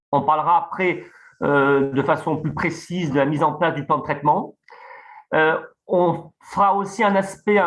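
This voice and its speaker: The voice holds a moderate pace with ordinary pitch variation. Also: man. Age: 50s. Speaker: dentist. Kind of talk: webinar presentation.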